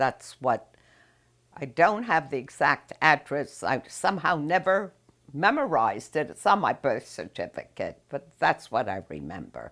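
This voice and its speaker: A woman with an American accent speaks at a very deep, low pitch, with vocal fry. Her pitch swings very widely. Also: fairly slow pace, big swings in loudness. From New York City. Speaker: interviewee recounting family history. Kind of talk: oral history interview. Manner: halting.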